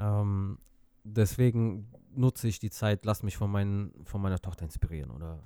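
Fairly low in pitch, a man speaks with a dark, mellow tone and ordinary pitch variation, the recording very clean with a silent background and a dry, close sound with no echo. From Azerbaijan. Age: 30s. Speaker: music producer. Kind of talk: casual chat. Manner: halting, many fillers.

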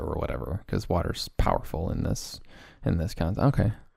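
Talking at a fairly quick pace, a man's voice carries vocal fry. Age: 20s. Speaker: podcast host. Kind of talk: casual chat.

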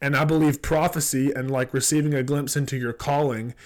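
In a Southern US accent, a man speaks at a moderate pace with a fairly high pitch. His intonation is monotone and flat, and the recording is very clean with a silent background. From South Georgia. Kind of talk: casual conversation, faith teaching.

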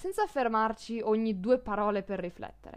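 Against a quiet background, a woman speaks in a normal speaking voice, fairly high in pitch, with ordinary pitch variation at a fairly slow pace. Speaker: language teacher podcaster. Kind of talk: podcast monologue, language lesson.

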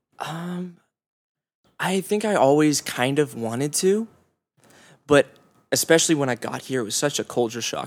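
A man's normal speaking voice with an American accent, lively intonation and a moderate pace. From Orange County, California. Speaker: musician. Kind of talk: casual interview.

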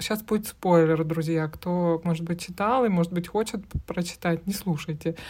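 A woman with a fairly low pitch uses an unremarkable speaking voice. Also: fairly even intonation, moderate pace. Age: 30s. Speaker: podcast co-host. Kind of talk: casual chat.

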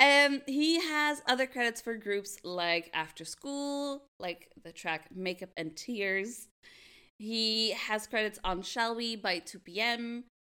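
Her voice is bright and sharp, fairly high in pitch, with lively intonation. The woman talks at a very slow pace, with big swings in loudness. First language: not English. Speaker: podcast co-host. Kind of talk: casual chat.

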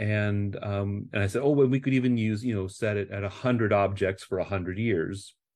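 In an American accent, a man talks at a fairly quick pace and a fairly low pitch, his tone dark and mellow and his intonation fairly even, over a quiet background. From US Midwest, Nebraska. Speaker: museum curator. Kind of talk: interview. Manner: hesitant, many fillers.

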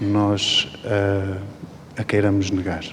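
Amid noticeable background noise, a man speaks at a fairly low pitch. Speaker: dancer. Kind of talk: post-show talk. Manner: halting.

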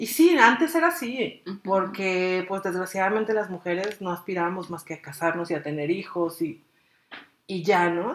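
At a moderate pace, a woman speaks in an animated tone at a medium pitch, with ordinary pitch variation and big swings in loudness. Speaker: podcast co-host, public relations worker. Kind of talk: casual chat.

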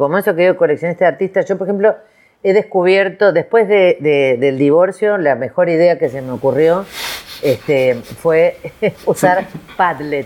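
A woman's fairly low voice with lively intonation, at a fairly slow pace. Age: 50s. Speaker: creativity and innovation consultant. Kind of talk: interview. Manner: animated.

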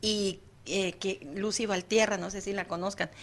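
Against a quiet background, a woman with a medium pitch talks fairly slowly in a monotone, flat intonation. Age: 50s. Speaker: psychologist, radio presenter. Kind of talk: casual chat. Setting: studio.

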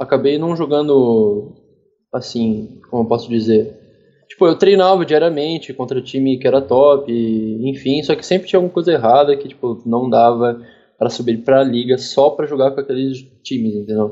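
An unremarkable speaking voice from a male speaker, pitched mid-range for a man, with normal rise and fall and a measured pace. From Curitiba, southern Brazil. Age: 20s. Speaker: professional esports player. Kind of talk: casual interview.

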